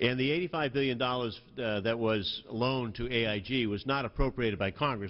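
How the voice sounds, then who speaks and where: A man at medium pitch, very fast, with ordinary pitch variation. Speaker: member of Congress questioning a witness. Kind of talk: congressional hearing questioning.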